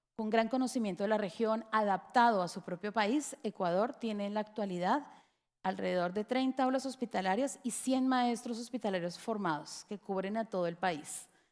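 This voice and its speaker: In a Colombian accent, a woman speaks at a fairly quick pace with a fairly high pitch and ordinary pitch variation, on a very clean recording with a silent background. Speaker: education lecturer. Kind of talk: lecture.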